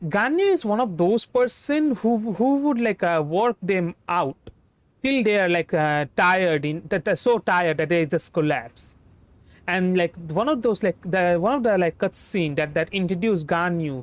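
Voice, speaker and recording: The recording is very clean, with a silent background. The speaker has a Bengali accent. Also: moderate pace. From India, West Bengal. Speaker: vtuber game streamer. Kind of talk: casual game stream commentary. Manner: halting, many fillers and false starts.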